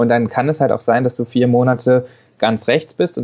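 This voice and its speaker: A man talks in a normal speaking voice at medium pitch. His intonation stays fairly even. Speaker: paediatrician. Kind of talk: interview.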